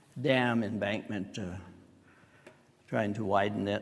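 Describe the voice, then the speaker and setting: With an American accent, a man speaks in fairly even intonation, and the room echo is audible. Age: 70s. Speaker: church member giving life testimony. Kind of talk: testimony. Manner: halting, with fillers.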